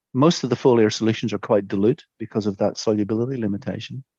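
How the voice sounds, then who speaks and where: A man with a Northern Irish accent speaks very fast at a medium pitch, with ordinary pitch variation. The background is quiet and the sound is dry and close, with no echo. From Northern Ireland, Antrim. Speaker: soil scientist, professor. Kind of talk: interview answer.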